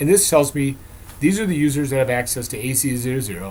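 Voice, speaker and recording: This man speaks with a fairly high pitch. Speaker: software vendor presenter. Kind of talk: product demo presentation. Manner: fast.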